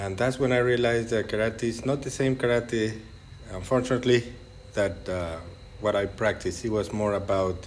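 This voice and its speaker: Noticeable background noise sits behind a man speaking in a Mexican accent. His medium-pitched voice moves at a moderate pace with fairly even intonation. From Mexico, Monterrey. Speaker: jiu-jitsu coach. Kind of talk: podcast interview.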